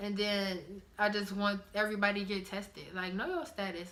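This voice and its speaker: Amid noticeable background noise and audible room echo, a woman of medium pitch speaks at a moderate pace with ordinary pitch variation. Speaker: vlogger. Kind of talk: casual vlog talk.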